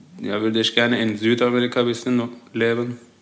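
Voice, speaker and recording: A man with a Turkish accent talks at a moderate pace in a medium pitch and monotone, flat intonation, with audible room echo. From Turkey, Adana. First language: Turkish (speaking German). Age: 20s. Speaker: engineering student. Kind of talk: interview.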